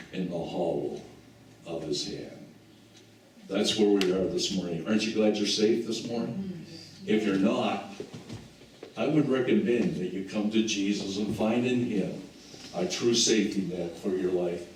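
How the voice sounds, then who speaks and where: Over noticeable background noise and audible room echo, a man with a fairly low pitch speaks at a moderate pace, using ordinary pitch variation and long, frequent pauses. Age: 70s. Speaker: pastor. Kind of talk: sermon. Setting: church.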